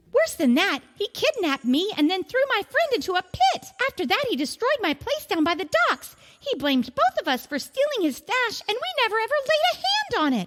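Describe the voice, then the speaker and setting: Squeaky and put-on, this character voice moves at a moderate pace with very wide pitch swings and hardly any pauses. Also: female-sounding voice, extremely high pitch for a woman. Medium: audio drama. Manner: fast, talkative.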